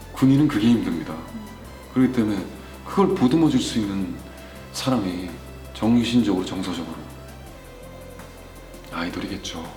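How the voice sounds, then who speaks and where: A man at medium pitch and a moderate pace, with very wide pitch swings, long, frequent pauses and music in the background. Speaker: voice actor; army veteran. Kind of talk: interview answer.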